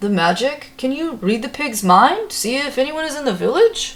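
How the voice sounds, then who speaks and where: A woman puts on a high-pitched character voice whose pitch swings very widely. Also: moderate pace. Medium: read story. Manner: gentle, earnest.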